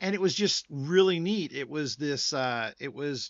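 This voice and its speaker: A man with an American accent speaks with an ordinary speaking voice. His intonation is lively and his pace is moderate. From New Jersey, US. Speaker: board game YouTuber, interviewer. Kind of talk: interview.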